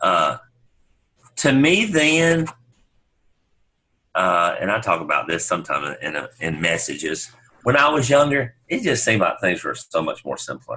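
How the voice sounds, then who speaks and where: Speaking with a Southern US accent, a man leaves long, frequent pauses. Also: moderate pace. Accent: rural Southern country. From US South, upstate South Carolina. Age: 60s. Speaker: pastor. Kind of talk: casual interview chat.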